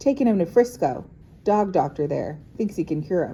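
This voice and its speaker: Pitched in the middle, a rumbling put-on character voice moves along at a moderate pace. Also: female-sounding voice. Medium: read story. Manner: grumbling, curt.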